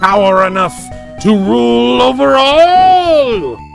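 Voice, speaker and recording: A put-on character voice at a middle pitch and a fairly slow pace, with clear music in the background. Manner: menacing, bombastic.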